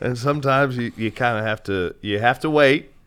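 A man talks fairly quickly in a plain, everyday voice with lively intonation. The recording is very clean, with a silent background. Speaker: radio broadcaster. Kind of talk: casual chat.

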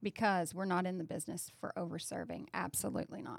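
A woman with vocal fry and a fairly low pitch talks at a very fast pace with lively intonation, on a very clean recording with a silent background. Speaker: restaurant franchise executive. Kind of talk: casual business discussion.

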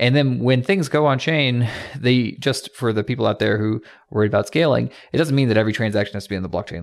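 A man with an American accent and vocal fry, medium in pitch, with lively intonation at a very fast pace, on a very clean recording with a silent background. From US South. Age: 30s. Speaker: tech company CEO. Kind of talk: podcast interview.

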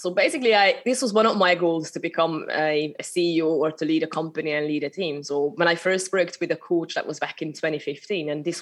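A woman with a slight Hungarian accent talks at a fairly quick pace with hardly any pauses. Her pitch is fairly low, with ordinary variation. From Hungary. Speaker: spiritual business mentor. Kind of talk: interview conversation. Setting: remote recording.

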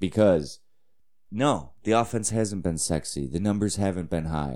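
A man speaks in a dark, mellow tone. The variation in his pitch is ordinary. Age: 30s. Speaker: sports podcast host. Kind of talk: casual solo sports commentary. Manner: animated.

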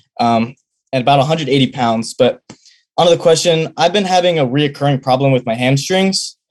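Here a man with an American accent talks at a fairly quick pace and a fairly high pitch. He has a plain, everyday voice with ordinary pitch variation. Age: young. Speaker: college sprinter. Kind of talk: call-in question.

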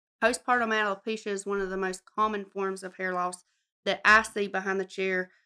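At a moderate pace, a woman with a Southern US accent speaks at medium pitch in a bright, sharp tone with monotone, flat intonation, on a very clean recording with a silent background. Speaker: cosmetologist. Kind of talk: casual chat. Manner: loud.

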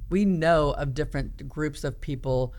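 A woman with a very deep, low pitch and an American accent, with audible room echo. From US Midwest, small-town Iowa. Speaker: podcast host, leadership coach. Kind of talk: casual chat.

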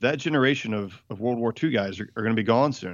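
Using a normal speaking voice with a medium pitch, a man talks at a fairly quick pace. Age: 30s. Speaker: author and men's ministry founder. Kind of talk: casual interview.

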